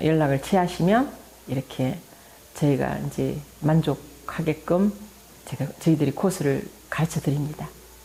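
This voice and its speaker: Speaking with a Daegu accent, a woman uses a very deep, low pitch, ordinary pitch variation and a moderate pace. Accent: Gyeongsang (Daegu) dialect. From South Korea, Daegu. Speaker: potter. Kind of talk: interview.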